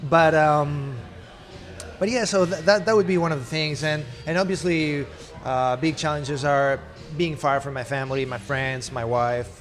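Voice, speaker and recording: A man with a Spanish accent speaks at a moderate pace and a fairly high pitch, with ordinary pitch variation. Noticeable background noise is present. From Spain. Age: 30s. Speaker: actor. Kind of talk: interview.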